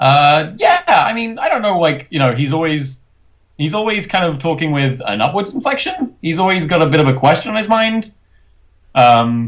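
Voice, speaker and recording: A man is speaking. His pitch swings very widely. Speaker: voice actor, interview guest.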